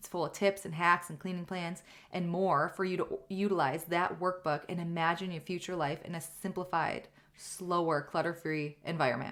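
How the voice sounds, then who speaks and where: The loudness swings widely from moment to moment. The recording itself is very clean, with a silent background. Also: woman, fairly low pitch for a woman. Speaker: podcast host. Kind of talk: solo podcast monologue. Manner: fast; animated.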